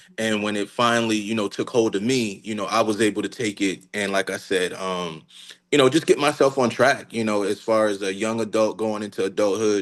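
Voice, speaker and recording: A man with an American accent has an ordinary speaking voice and a fairly low pitch. He talks at a fairly quick pace with fairly even intonation. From Newark, New Jersey. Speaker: dance teacher and studio owner. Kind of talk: interview. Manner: many fillers (um, you know).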